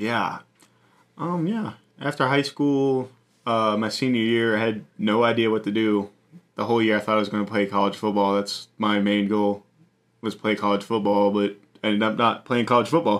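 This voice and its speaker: A man at a fairly low pitch and moderate pace, with fairly even intonation. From Virginia, Appalachian Mountains. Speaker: missionary staff. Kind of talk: casual interview. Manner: halting, many fillers.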